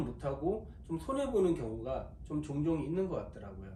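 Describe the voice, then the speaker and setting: There is noticeable background noise and audible room echo. A man talks at a fairly slow pace. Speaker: golf fitter and instructor. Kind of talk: video tutorial. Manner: talkative, long-winded explaining.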